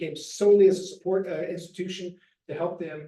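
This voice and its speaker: The speaker has a dark, mellow tone, an American accent and fairly even intonation. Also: man. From Missouri, Bootheel. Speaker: nonprofit refugee resettlement staffer. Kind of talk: presentation to church group. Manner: fast.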